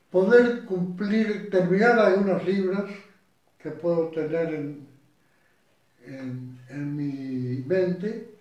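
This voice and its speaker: Man's high-pitched voice at a very slow pace, with lively intonation, long, frequent pauses and audible room echo. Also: big swings in loudness. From Argentina. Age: 80s+. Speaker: retired lawyer and judge. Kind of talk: interview. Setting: at home. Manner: halting.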